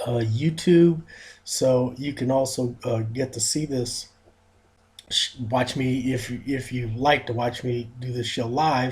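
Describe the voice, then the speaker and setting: At a very slow pace, a man speaks in a somewhat breathy voice with fairly even intonation. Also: medium pitch for a man. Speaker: fitness radio show host. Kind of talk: radio talk show monologue. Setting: studio. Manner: halting, many fillers.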